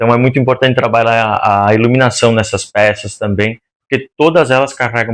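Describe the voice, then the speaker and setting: This man talks at a fairly quick pace with a medium pitch and fairly even intonation. The background is quiet. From Rio Grande do Sul, Brazil. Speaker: interior designer. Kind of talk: podcast interview.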